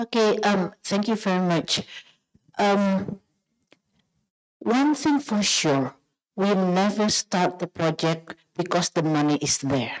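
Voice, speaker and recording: Here a woman at medium pitch talks at a very slow pace with long, frequent pauses, keeping her loudness very even. Her intonation is lively, and the sound is dry and close with no echo. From Indonesia. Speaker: food entrepreneur, panel speaker. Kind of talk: panel answer.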